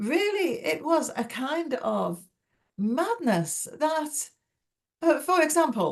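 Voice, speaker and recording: A woman speaks with an English accent. Her pitch makes very wide swings. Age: 70s. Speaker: novelist. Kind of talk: interview.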